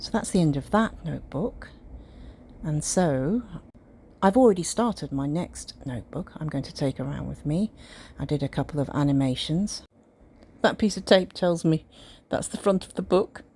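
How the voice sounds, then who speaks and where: On a very clean recording with a silent background, a woman with a very deep, low, dark and mellow voice talks at a moderate pace with lively intonation and long, frequent pauses. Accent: British. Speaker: amateur artist. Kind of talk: casual talk to camera.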